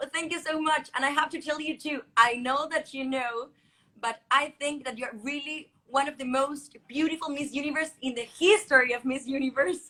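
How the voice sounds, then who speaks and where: Raised and projected, a woman's high-pitched voice has a bright, sharp tone, moving at a moderate pace with fairly even intonation. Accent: Chilean Spanish. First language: Spanish. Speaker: beauty pageant contestant. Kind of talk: live coaching video call. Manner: halting.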